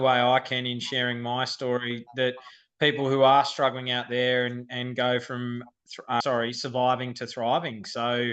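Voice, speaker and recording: A man with an Australian accent, medium in pitch, with monotone, flat intonation at a moderate pace. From Australia, Sydney. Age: 30s. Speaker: firefighter. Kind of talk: podcast interview.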